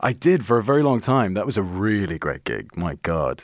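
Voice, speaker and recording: Here a man talks at a moderate pace in a fairly low pitch. His voice makes very wide pitch swings. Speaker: actor and writer. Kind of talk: casual chat. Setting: studio. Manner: laughs often, casual.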